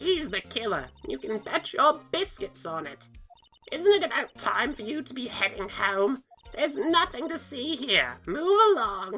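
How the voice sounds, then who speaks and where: Using a put-on character voice, a woman talks at a high pitch with very wide pitch swings and big swings in loudness as faint music plays in the background. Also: moderate pace. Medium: fan dub. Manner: bossy, condescending.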